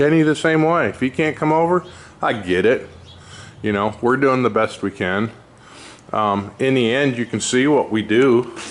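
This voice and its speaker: A man talks at a moderate pace with medium pitch and ordinary pitch variation. It is a normal speaking voice. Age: 60s. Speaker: race car builder, shop owner. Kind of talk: casual shop walkaround vlog. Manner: casual, rambling with fillers.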